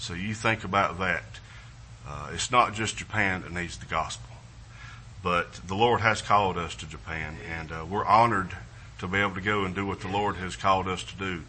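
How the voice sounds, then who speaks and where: With a Southern US accent, a man speaks at a moderate pace, showing big swings in loudness and ordinary pitch variation amid audible room echo. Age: 50s. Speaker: missionary. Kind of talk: missionary presentation in church. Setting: church service with congregation. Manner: halting, repetitive, with fillers.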